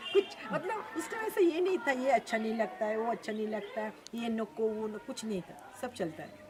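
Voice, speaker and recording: A woman speaks at a fairly high pitch with lively intonation and big swings in loudness. Noticeable background noise runs underneath. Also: moderate pace. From Bengal, India. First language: Bengali (speaking Hindi). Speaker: social worker at a children's home. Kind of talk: interview.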